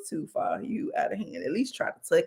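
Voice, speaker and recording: A woman with an American accent speaks in an animated tone at a fairly quick pace. Her pitch swings very widely. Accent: Southern US, stronger when relaxed. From US South, Birmingham, Alabama. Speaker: life coach and channel host. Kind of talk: live stream chat. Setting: live video stream.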